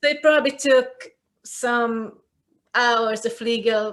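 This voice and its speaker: Fairly even intonation with a Hungarian accent. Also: woman. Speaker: cultural commentator, video creator. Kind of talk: casual chat.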